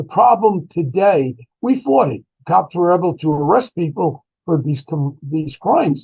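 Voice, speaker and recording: Speaking with a New York accent, a man uses lively intonation at a fairly slow pace and a fairly high pitch. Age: 70s. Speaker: former police detective. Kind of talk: interview commentary. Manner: animated.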